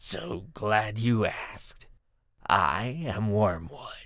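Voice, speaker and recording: Putting on a raspy character voice, a man speaks at a very slow pace with a fairly low pitch. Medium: read story. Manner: snide, mocking.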